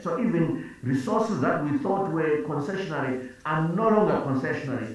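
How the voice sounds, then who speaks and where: A man speaks with a fairly high pitch and lively intonation. Strong room echo surrounds his voice. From Zimbabwe. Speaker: finance minister. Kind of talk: panel discussion. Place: office. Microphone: video call.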